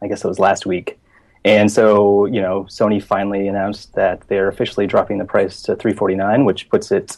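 Flat and monotone, a man speaks at a moderate pace with a fairly low pitch. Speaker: games journalist. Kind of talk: casual chat.

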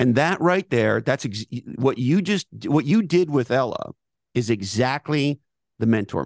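A man's medium-pitched voice with vocal fry and lively intonation, fairly slow in pace, dry and close with no echo. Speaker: business author and thinker. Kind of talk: interview conversation.

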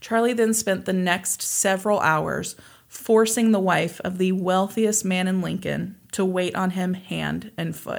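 With an American accent, a woman speaks in an ordinary speaking voice at a medium pitch, with fairly even intonation and a fairly slow pace. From US Midwest, Kansas. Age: 30s. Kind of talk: casual storytelling chat.

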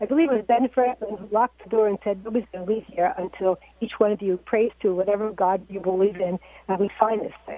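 A woman at medium pitch with an American accent, talking at a very fast pace with fairly even intonation and big swings in loudness, over noticeable background noise. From Maryland Eastern Shore. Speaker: caller. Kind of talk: call-in discussion. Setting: phone call.

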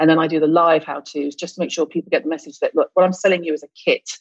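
With a British accent, a woman talks in a fairly low voice and a flat, monotone intonation. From US South (Mississippi). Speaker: esthetician and skincare expert. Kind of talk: casual interview.

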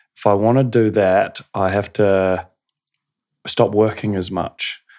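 In a very clean recording with a silent background, a man with a New Zealand accent speaks at a fairly low pitch. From New Zealand, North Canterbury. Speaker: breathwork and meditation facilitator. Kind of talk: casual interview. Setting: studio.

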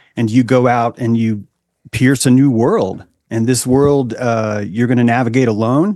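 In a plain, everyday voice, a man speaks at a fairly slow pace with very even loudness and fairly even intonation. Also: medium pitch for a man. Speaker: author and philosopher.

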